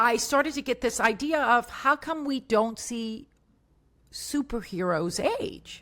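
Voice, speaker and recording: A woman talks at a very slow pace in an American accent. Her voice is high, with a bright, sharp tone. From US South, Tampa, Florida. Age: 60s. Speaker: motivational speaker and bodybuilder. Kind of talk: podcast interview.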